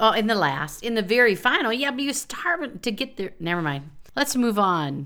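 Her voice is bright and sharp, a woman's at fairly high pitch with very wide swings and vocal fry. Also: moderate pace. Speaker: podcast co-host with master's degree in psychology. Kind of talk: casual chat about psychology history. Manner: loud outbursts.

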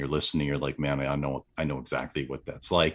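A man with an American accent talks while noticeable noise sits behind him. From US Midwest, southeast Wisconsin. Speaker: entrepreneur, retreat organizer. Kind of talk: interview, casual chat.

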